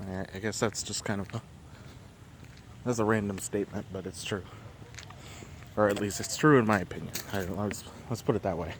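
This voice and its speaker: There is noticeable background noise. A man speaks with a fairly low pitch at a fairly quick pace. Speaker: vlogger. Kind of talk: casual monologue. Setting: outdoors, walking.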